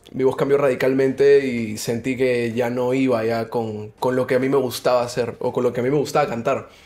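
A man at a moderate pace, monotone and flat in intonation, with hardly any pauses. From Peru. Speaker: musician and DJ; guest. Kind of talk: casual interview. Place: studio. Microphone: studio mic.

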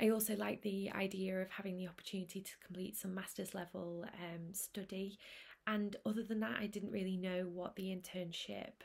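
Somewhat breathy woman at a moderate pace, with monotone, flat intonation. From Manchester, northern England; northern England. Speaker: speech and language therapist. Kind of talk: prepared presentation. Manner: hesitant, frequent um fillers. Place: home room. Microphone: webcam.

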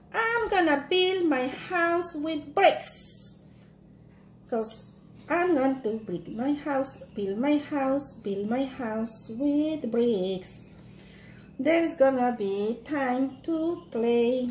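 A cartoonish character voice moves at a very slow pace. Background noise is clear. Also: female-sounding voice, high pitch for a woman. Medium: puppet show. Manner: steady, singsong.

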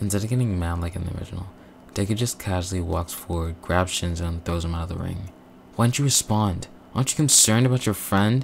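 Talking at a very fast pace, a man with a very deep, low, somewhat breathy voice uses ordinary pitch variation. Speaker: YouTuber narrating fan fiction. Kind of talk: scripted narration. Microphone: new better mic.

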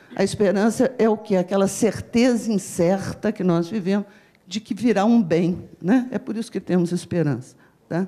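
Background noise is noticeable throughout. The voice belongs to a woman. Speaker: university professor. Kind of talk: panel talk.

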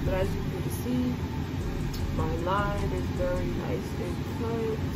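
A woman's voice against loud background noise. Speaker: beauty vlogger. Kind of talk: makeup tutorial. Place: home room. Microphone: earbuds.

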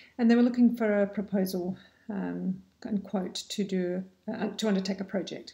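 Over a quiet background, a woman speaks in a dark, mellow tone that is somewhat breathy, with ordinary pitch variation. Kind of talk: casual advice vlog. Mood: friendly, calm. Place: home room. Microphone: webcam.

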